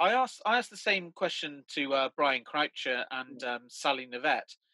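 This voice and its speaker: A man speaks with a British accent at a moderate pace. The background is quiet and the sound is dry with no echo. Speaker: fan event host. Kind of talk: casual interview. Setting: video call. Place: home room. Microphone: webcam.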